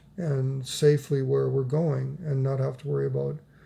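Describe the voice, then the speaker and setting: A man's somewhat breathy voice, dark and mellow in tone, stays at a medium pitch with fairly even intonation and a moderate pace. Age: old. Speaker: vlogger and storyteller. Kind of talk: casual vlog monologue. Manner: subdued; halting, repeats words.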